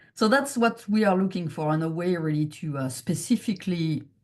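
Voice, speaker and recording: Her speech has a French accent and lively intonation. The woman sounds somewhat breathy. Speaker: chief scientific officer of a patient foundation. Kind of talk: research presentation Q&A. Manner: halting, many fillers.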